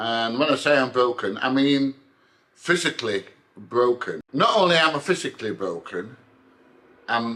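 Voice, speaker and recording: In a British accent, a man with a bright, sharp tone and medium pitch speaks at a moderate pace with lively intonation and long, frequent pauses. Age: 60s. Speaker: vlogger, army veteran. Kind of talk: casual vlog monologue.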